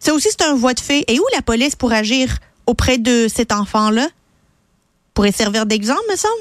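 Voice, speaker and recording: A woman speaks at a moderate pace with a high pitch, lively intonation and very even loudness, leaving long, frequent pauses. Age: 30s. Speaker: radio host and commentator. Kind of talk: opinion editorial. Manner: animated.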